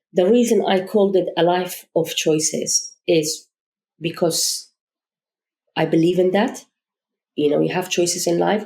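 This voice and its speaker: Speaking at a fairly slow pace with a non-native accent, a woman of medium pitch has a dark, mellow tone and fairly even intonation. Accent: foreign. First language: not English. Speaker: charity founder. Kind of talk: podcast interview.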